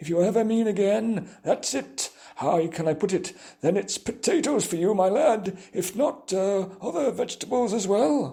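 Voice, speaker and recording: A man performs a put-on character voice at a high pitch. He speaks at a moderate pace. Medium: read story. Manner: rambling, hesitant, wordy.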